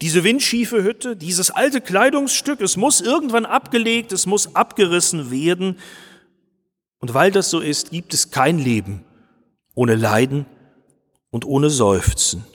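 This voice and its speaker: Slowish and broken by long, frequent pauses, a man's high voice swings very widely in pitch. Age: 50s. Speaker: pastor. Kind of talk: sermon.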